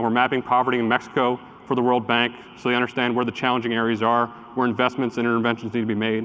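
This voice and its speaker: At a very fast pace, a man talks in a medium pitch with very even loudness, noticeable background noise behind him. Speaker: tech company executive. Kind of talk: conference talk.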